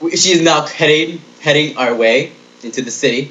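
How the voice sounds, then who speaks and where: A man speaks with ordinary pitch variation. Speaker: comedic vlogger. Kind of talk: comedic rant monologue. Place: home room. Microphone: webcam.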